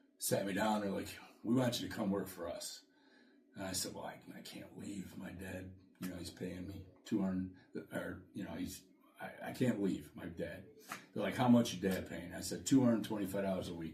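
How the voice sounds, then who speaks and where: Recorded with audible room echo, a man with an American accent speaks at a moderate pace in a fairly low, somewhat breathy voice, his intonation fairly even and his loudness swinging widely. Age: 60s. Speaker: podcast co-host, salesman. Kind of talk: casual chat.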